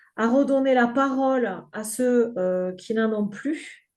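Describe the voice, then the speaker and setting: Very slow, fairly even speech from a woman in a southern French accent, her tone dark and mellow at a fairly high pitch, against a quiet background. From southern France. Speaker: grief counselor and game creator. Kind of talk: podcast interview. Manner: hesitant, many filler words.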